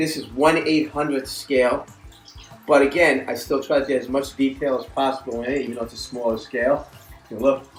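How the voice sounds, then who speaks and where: Music can be heard behind the voice. A man talks at a medium pitch, his intonation fairly even. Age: 60s. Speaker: hobbyist model builder. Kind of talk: show-and-tell narration. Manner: casual with fillers.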